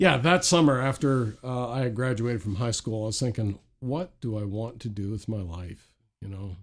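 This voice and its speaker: An unremarkable speaking voice moves at a moderate pace with lively intonation in a very clean recording with a silent background. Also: man, medium pitch for a man. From Maritime provinces of eastern Canada. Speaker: author and minister. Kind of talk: casual interview conversation. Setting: studio.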